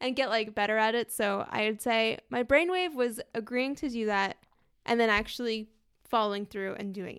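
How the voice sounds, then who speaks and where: A woman with an American accent has a normal speaking voice and a fairly high pitch. She talks at a moderate pace with ordinary pitch variation. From Washington DC area. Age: 20s. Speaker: podcast co-host. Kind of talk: casual chat.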